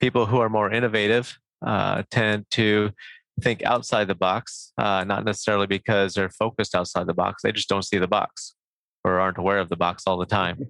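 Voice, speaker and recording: With a Midwestern accent, a man of fairly low pitch speaks at a fairly quick pace, with very even loudness and fairly even intonation. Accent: American Midwestern. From US Midwest, Nebraska. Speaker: professor. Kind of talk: interview.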